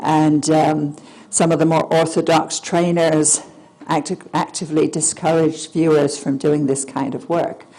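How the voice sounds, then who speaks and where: Over noticeable background noise, a woman speaks slowly in a very deep, low pitch with monotone, flat intonation. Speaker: remote viewer and author. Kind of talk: lecture. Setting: stage with audience. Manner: halting; projecting.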